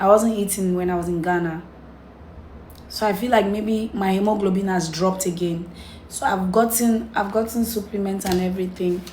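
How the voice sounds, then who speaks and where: The voice is somewhat breathy. It moves at a moderate pace with fairly even intonation. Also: woman, medium pitch for a woman. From Cameroon. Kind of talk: casual talk to camera.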